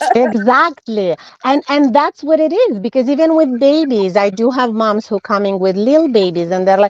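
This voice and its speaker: Speaking at a moderate pace with a non-native accent, a woman uses a fairly high pitch and lively intonation, recorded with a dry, close sound with no echo amid noticeable background noise. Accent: foreign. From former USSR. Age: 40s. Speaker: nutritionist. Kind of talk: interview. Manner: halting, self-correcting.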